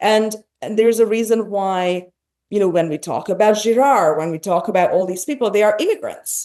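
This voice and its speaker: A woman with a Hungarian accent speaks at a fairly quick pace and fairly high pitch, her tone dark and mellow. Her pitch varies in an ordinary way against a quiet background. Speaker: podcast host. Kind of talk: interview conversation.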